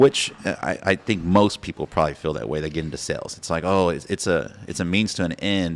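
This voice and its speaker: Over a silent background in a very clean recording, a man with a very deep, low pitch and vocal fry talks at a fairly quick pace with lively intonation and hardly any pauses. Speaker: real estate agent and podcast host. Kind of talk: podcast interview host, casual talk.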